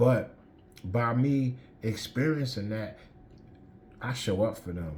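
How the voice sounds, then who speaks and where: A man's somewhat breathy, medium-pitched voice at a very slow pace, with ordinary pitch variation and audible room echo. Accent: American. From Newark, New Jersey. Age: 50s. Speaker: person in addiction recovery. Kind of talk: testimony. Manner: halting.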